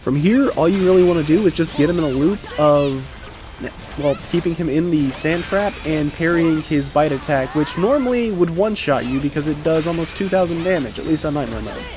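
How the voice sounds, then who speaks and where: With music in the background, the speaker talks at a fairly quick pace. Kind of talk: game guide narration. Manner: casual.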